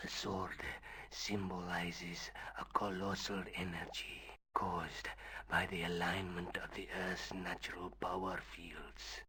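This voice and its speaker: A man whispers in a put-on character voice with a solemn tone. He speaks at a fairly slow pace. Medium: video game. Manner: solemn, measured, cryptic.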